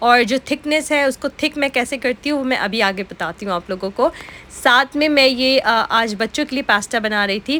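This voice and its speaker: Noticeable background noise sits behind a woman's high voice. She talks at a moderate pace. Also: ordinary pitch variation. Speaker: vlogger. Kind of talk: casual vlog narration.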